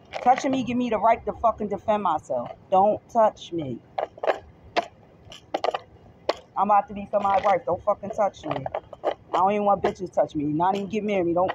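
Someone talks at a fairly quick pace in a dry sound with no echo, with noticeable background noise behind them. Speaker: tarot vlogger. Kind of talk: casual vlog rant. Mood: irritated, emphatic. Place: street. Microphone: phone near.

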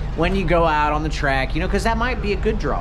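There is noticeable background noise behind a man as he speaks. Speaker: race car driver vlogger. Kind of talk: casual vlog chat. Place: street. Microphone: phone near.

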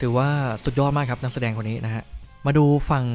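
Music plays behind the speaker. He is a man with fairly even intonation. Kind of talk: casual movie review talk. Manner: chatty, informal.

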